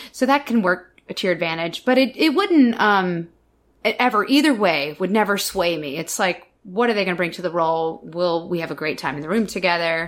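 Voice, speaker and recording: Using a normal speaking voice, a woman with a medium pitch talks at a fairly quick pace with lively intonation. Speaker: stage actor and director. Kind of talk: interview anecdote.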